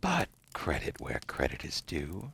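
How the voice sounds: Speaking in a put-on character voice, a man goes extremely low with vocal fry and a husky, rough edge, his tone fairly bright, his pitch swinging very widely at a fairly slow pace.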